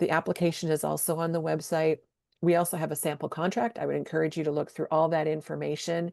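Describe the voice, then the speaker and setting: A woman's very deep, low voice with vocal fry, flat and monotone, at a very fast pace over a quiet background. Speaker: state program coordinator. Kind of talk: webinar presentation. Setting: online webinar.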